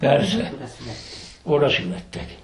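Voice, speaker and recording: A man's fairly high-pitched voice in a Gömör accent, at a fairly slow pace, over noticeable background noise. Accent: Gömör Palóc dialect. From southern Slovakia. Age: old. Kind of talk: interview answer, reminiscence.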